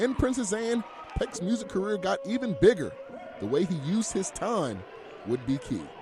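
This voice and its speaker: A man speaks at a moderate pace in a high pitch, with very wide pitch swings. Noticeable background noise runs behind him. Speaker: sports anchor and reporter. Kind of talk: TV sports feature package narration. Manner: smooth, polished delivery.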